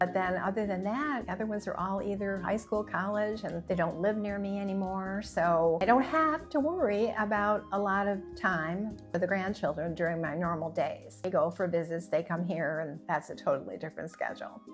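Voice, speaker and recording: Music plays behind a woman speaking at a moderate pace with hardly any pauses. Her pitch is medium, with ordinary variation. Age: 70s. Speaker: content creator. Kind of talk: casual talk to camera.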